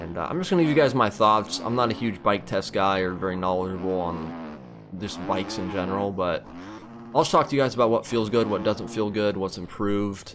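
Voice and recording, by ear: A man talks at a fairly quick pace with a fairly low pitch. His tone is fairly bright, and his pitch varies in an ordinary way.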